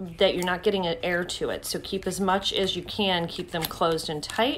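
In a normal speaking voice, a woman speaks at a fairly low pitch and moderate pace with fairly even intonation, over light background noise. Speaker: beauty vlogger. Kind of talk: casual vlog chat. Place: home room. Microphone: phone near.

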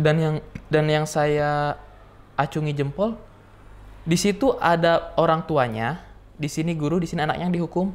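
A man at a moderate pace, fairly even in intonation, with long, frequent pauses. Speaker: student teacher; interview guest, student teacher. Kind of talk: interview. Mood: amused, storytelling with imitations. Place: studio.

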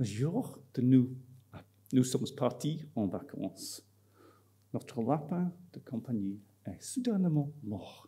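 A man's medium-pitched, dark and mellow voice, somewhat breathy, very slow with long, frequent pauses and lively intonation, with an English accent, over a quiet background. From Scotland. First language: English (speaking French). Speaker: marketing professor. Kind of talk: conference talk. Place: hall. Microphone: podium.

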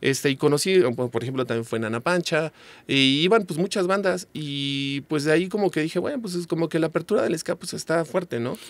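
A man talks at a fairly quick pace with fairly high pitch and lively intonation. The sound is dry, with no echo. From Mexico. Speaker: ska singer and songwriter; guest. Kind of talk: casual chat. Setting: studio. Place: studio. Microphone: studio mic.

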